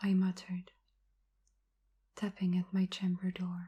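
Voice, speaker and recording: This soft-spoken voice has a calm tone. It moves at a fairly slow pace. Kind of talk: ASMR poetry reading. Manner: soft-spoken, calm.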